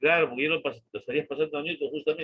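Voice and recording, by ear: A man's fairly high voice with a slightly husky edge, fairly even intonation and a very fast pace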